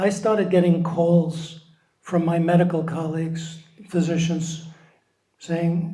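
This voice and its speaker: In a room with audible echo, a man speaks very slowly at a high pitch, his intonation flat and monotone, with long, frequent pauses. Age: 70s. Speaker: founder of a volunteer support organization, psychologist. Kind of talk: interview.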